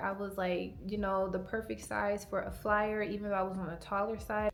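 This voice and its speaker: Soft-spoken, a woman talks at a moderate pace with a medium pitch. There is audible echo from the room. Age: 20s. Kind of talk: personal vlog monologue. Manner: casual, filler-heavy.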